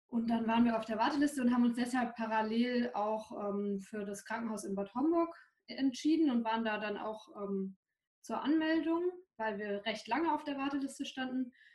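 Here a woman has a normal speaking voice at a fairly high pitch. She keeps a moderate pace with ordinary pitch variation. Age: 20s. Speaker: new mother. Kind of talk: personal testimony.

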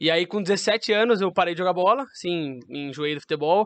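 A man speaks in a high voice at a moderate pace with ordinary pitch variation, the sound dry and close with no echo against a quiet background. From interior of São Paulo state. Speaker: professional beach tennis player. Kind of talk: casual chat.

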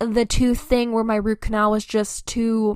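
In a very clean recording with a silent background, a woman uses a normal speaking voice at a fairly high pitch and a moderate pace. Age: 20s. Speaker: solo podcast host. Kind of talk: casual monologue.

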